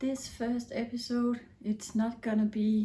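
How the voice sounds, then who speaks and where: With a Danish accent, a woman speaks at a very slow pace in a somewhat breathy voice with a dark, mellow tone. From Denmark. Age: 40s. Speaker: knitting podcaster. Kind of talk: casual vlog talk. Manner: hesitant, with fillers.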